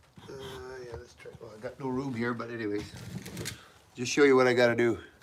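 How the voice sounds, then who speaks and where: A man with a medium pitch talks at a very fast pace, his intonation fairly even but his loudness swinging widely. Audible room echo and noticeable background noise fill the recording. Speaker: knifemaker. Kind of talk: live stream tutorial. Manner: casual, halting.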